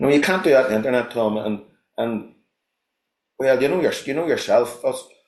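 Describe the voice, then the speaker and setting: This man speaks at a medium pitch with ordinary pitch variation, leaving long, frequent pauses. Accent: Belfast. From Northern Ireland, North Belfast. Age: 50s. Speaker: fly fishing guide and instructor. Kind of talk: casual chat. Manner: halting, many repetitions.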